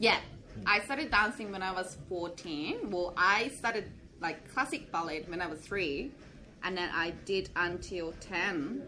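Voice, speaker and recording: Here a woman talks at a fairly slow pace with lively intonation and medium pitch. Noticeable background noise and audible room echo fill the recording. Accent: Japanese. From Japan (rural Kochi Prefecture). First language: Japanese. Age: 20s. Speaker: hip hop dance instructor. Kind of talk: casual interview.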